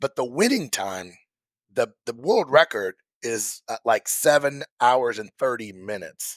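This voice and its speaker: At a fairly slow pace, an animated man with an American accent speaks at medium pitch with lively intonation and big swings in loudness, on a very clean, silent-background recording with a dry, close sound and no echo. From Missouri. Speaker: hunter and former triathlete. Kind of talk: casual podcast conversation. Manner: animated storytelling.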